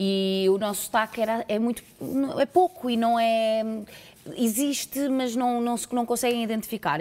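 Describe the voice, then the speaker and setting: A woman talks at a high pitch, and her pitch variation is ordinary. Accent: Lisbon. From Portugal, Porto. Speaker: actress. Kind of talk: casual interview. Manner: halting.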